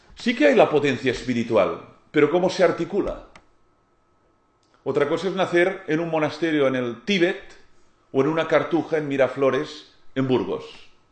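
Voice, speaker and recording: Long, frequent pauses in a Catalan accent, with ordinary pitch variation and audible room echo. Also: man, fairly high pitch for a man, moderate pace. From Catalonia, Spain. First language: Catalan (speaking Spanish). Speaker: lecturer on philosophy and spirituality. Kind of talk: lecture.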